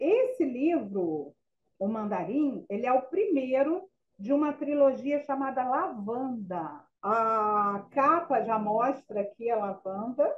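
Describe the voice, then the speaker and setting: A woman speaks at a very slow pace in a high voice, her pitch swinging very widely. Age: 60s. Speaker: spiritist author and youth educator. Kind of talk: radio interview.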